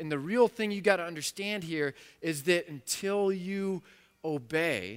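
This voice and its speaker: On a very clean recording with a silent background, a man speaks at a fairly slow pace with ordinary pitch variation, in an ordinary speaking voice. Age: 40s. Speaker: pastor. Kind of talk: sermon. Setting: church.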